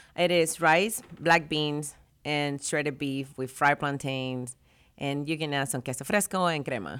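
Captured in a very clean recording with a silent background, the speaker goes at a fairly slow pace with ordinary pitch variation. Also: woman, very deep, low pitch for a woman. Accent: Spanish. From Venezuela. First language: Spanish. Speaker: barista and café owner. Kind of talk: casual radio interview. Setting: radio studio.

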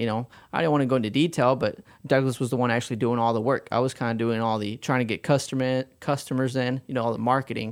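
Very fast speech keeps a fairly even intonation. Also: man, medium pitch for a man. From Mexico City, Mexico. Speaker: auto body shop owner. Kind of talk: radio interview.

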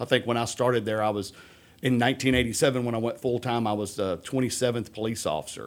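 A man with a Texan accent, fairly even intonation and a very fast pace. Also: medium pitch for a man. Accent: Texas English. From Texas, Humble near Houston. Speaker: police chief. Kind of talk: interview. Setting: studio.

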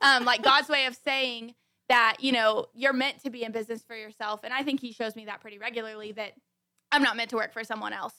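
A woman speaks with an American accent at a fairly high pitch, in a bright, sharp tone. Her intonation stays monotone and flat. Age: 20s. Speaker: boutique owner. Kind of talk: casual chat.

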